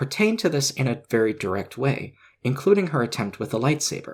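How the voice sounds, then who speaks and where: On a very clean recording with a silent background, a somewhat breathy man at a medium pitch talks at a fairly quick pace with lively intonation. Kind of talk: video essay narration.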